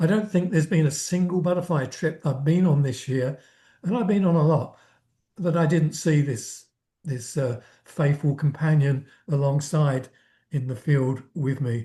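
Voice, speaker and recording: A man's somewhat breathy voice, fairly high in pitch, with a dark, mellow tone and ordinary pitch variation. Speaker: entomologist presenter. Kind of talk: lecture. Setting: video call. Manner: halting.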